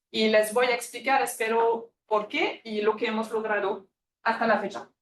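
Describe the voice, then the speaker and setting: A woman speaks with a French accent at a fairly high pitch. Her moderate-paced delivery is monotone, with flat intonation. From France. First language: French (speaking Spanish). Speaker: immunology researcher. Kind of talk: lecture. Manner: halting, with many fillers.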